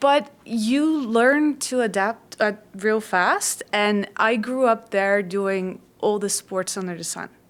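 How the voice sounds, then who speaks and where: In a Dutch accent, a woman speaks at a very slow pace with a fairly high pitch. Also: ordinary pitch variation. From Netherlands, West Africa and Saudi Arabia. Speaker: trauma therapist. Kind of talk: podcast interview.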